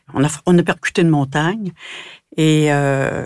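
At a fairly slow pace, a woman speaks with a very deep, low pitch and fairly even intonation in a very clean recording with a silent background. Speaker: museum founder. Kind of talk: interview.

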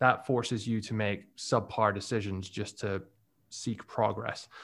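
The recording is very clean, with a silent background. A man speaks at a moderate pace. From Scotland. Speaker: website business owner. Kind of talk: casual interview chat. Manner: hesitant, filler-heavy.

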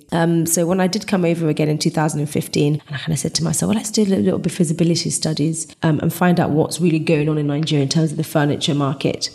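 This woman has a British accent and a very deep, low pitch. She talks at a very fast pace with hardly any pauses. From England. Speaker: furniture designer and manufacturer. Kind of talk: interview conversation.

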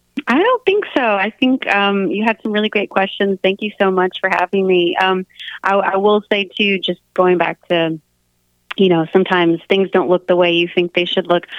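A woman with an American accent speaks at medium pitch and a moderate pace. Hers is an unremarkable speaking voice with fairly even intonation. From US South, South Florida then Mississippi. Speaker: singer-songwriter and worship leader. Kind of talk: interview.

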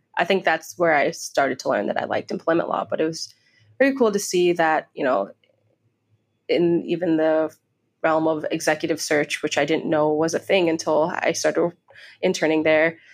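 A woman with a normal speaking voice and an American accent, fairly low pitch, ordinary pitch variation and a moderate pace on a very clean recording with a silent background. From Chicago and Iowa. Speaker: law student and aspiring podcaster. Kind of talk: interview conversation. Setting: co-working space.

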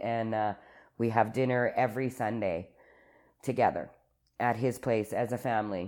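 Here a woman speaks with an Albertan accent. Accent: Canadian (Alberta). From Calgary, Alberta, Canada. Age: 40s. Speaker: recovering alcoholic sharing her story. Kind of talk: personal testimony in casual interview.

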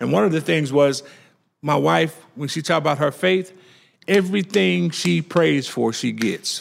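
Someone with a Louisiana accent speaks at a moderate pace in an animated tone, with very wide pitch swings. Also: man, fairly high pitch for a man. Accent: Southern US (Louisiana). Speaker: restaurant co-owner. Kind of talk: interview.

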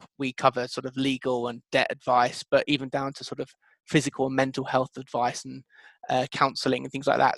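Fairly quick speech with a British accent, monotone, flat intonation, and a dry, close sound with no echo. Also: man. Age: 20s. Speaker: co-founder of a tenancy deposit startup. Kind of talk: interview.

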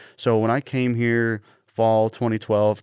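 On a very clean recording with a silent background and a dry, close sound with no echo, a man speaks at a medium pitch and fairly slow pace. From Washington State, Pacific Northwest. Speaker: radio production manager. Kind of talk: casual interview.

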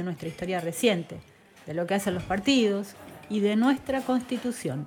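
Noticeable background noise accompanies a voice with ordinary pitch variation. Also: woman. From Argentina, southern Entre Ríos. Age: 40s. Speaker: podcast host. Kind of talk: scripted narration.

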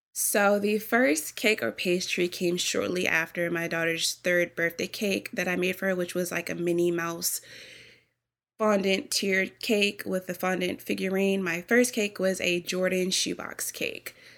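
In a very clean recording with a silent background, a woman talks at a fairly slow pace in an ordinary speaking voice, her medium pitch carried by fairly even intonation. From US Virgin Islands, raised in Maryland area. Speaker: baker and bakery owner. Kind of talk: interview answers, casual.

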